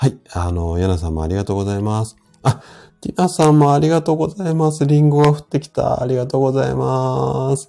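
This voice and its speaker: This man's voice sits at a medium pitch with a dark, mellow tone. His pitch swings very widely as he talks at a fairly quick pace. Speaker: health practitioner hosting a live audio stream. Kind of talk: casual health talk on a live stream, greeting listeners. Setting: live audio stream. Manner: hesitant, many fillers.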